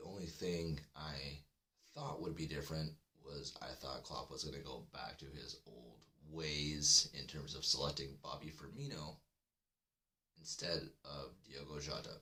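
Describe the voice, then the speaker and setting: With vocal fry, a man speaks at a very deep, low pitch, fairly slowly and with fairly even intonation. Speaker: football podcast host. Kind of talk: live stream fan chat. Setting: live stream. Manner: kept deliberately low.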